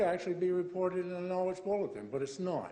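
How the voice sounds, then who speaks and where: The speech moves at a fairly quick pace, with noticeable background noise and audible room echo. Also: man. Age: 70s. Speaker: resident making public comment. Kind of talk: public comment. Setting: council chamber.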